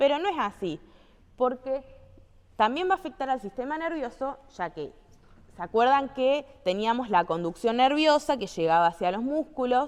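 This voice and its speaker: Pitched high, a woman speaks at a moderate pace with very wide pitch swings. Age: 20s. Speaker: physical activity instructor. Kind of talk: training lecture. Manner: conversational, frequent checking questions.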